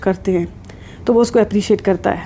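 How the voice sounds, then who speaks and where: A woman speaks over noticeable background noise. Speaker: psychologist / counselor YouTuber. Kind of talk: advice talk to camera. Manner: serious.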